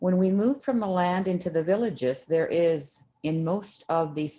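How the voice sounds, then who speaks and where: The speaker has a Canadian Arctic accent and a dark, mellow tone. Delivery comes at a moderate pace with lively intonation. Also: woman. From Canadian Arctic, Inuit. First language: Inuktitut. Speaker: activist and author. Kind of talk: reading aloud. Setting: video call.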